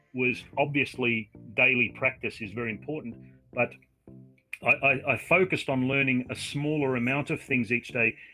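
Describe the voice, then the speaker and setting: Someone with an Australian accent speaks at a moderate pace while music plays in the background. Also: man. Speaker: online English tutor. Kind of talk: casual video-call conversation.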